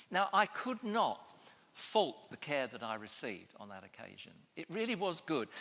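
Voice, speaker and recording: Bright and sharp in tone, a man speaks at a moderate pace with a high pitch, very wide pitch swings and big swings in loudness. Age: 70s. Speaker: public health professor. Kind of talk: panel discussion. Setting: stage with audience.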